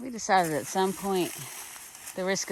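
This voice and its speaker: The speaker talks at a fairly quick pace. Background noise is noticeable. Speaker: hiking vlogger. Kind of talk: casual vlog narration. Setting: outdoors. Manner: loud.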